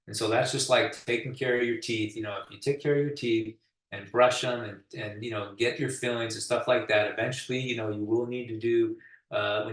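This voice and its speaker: A man speaks at a medium pitch, somewhat breathy, with fairly even intonation. His loudness swings widely. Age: 60s. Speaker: pavement contractor, expert speaker. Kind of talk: webinar presentation. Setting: online webinar. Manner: casual, with many fillers.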